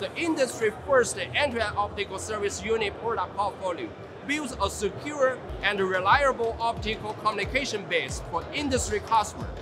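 Over background music, a man talks at a moderate pace with a high pitch and ordinary pitch variation. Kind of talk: interview answer. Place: hall. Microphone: lapel.

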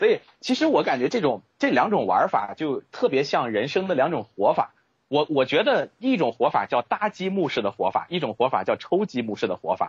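A man's fairly quick speech with vocal fry and very wide pitch swings. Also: fairly high pitch for a man. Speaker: author and HR expert. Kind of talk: interview.

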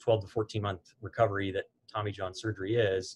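Against light background noise, a man speaks at a fairly quick pace in a somewhat breathy monotone with flat intonation. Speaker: guest. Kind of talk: interview answer. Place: office.

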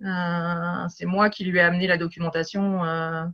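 With monotone, flat intonation, a woman talks at a fairly low pitch. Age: 50s. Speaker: coach. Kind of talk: interview.

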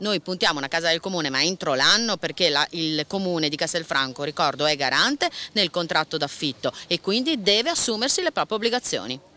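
This woman's bright, sharp tone sits at a fairly low pitch, with lively intonation and a fairly quick pace. The sound is dry, with no echo. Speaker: lawyer. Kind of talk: TV talk show discussion. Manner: indignant. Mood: indignant, critical.

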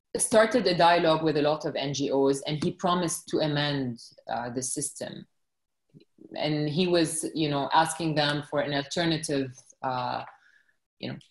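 A woman's very deep, low voice at a moderate pace, with ordinary pitch variation, audible room echo and a quiet background. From Lebanon. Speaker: journalist. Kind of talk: podcast interview answer. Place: home room. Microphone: video call.

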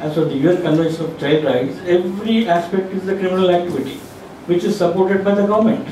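A high-pitched man talks at a very fast pace with ordinary pitch variation. Light background noise and audible room echo are present. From India, Telangana. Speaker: civil society activist. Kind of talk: panel discussion. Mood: critical, earnest. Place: meeting room.

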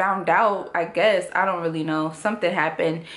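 A woman talks at a fairly slow pace, her pitch staying fairly even. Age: 20s. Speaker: YouTuber. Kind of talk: personal vlog testimony. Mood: earnest, serious, reflective. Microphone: phone near.

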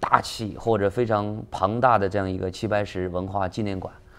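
A man is talking. His pace is moderate. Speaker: businessman. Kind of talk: interview. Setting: studio. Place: studio. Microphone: lapel.

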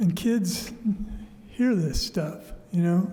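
A man at a very slow pace, with audible room echo. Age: 70s. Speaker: public commenter. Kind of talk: public comment. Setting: council chambers. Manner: halting.

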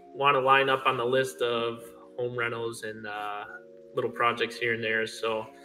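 A man's monotone voice with flat intonation at a moderate pace, over music in the background. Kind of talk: interview answer. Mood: relaxed, modest. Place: garage. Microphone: phone near.

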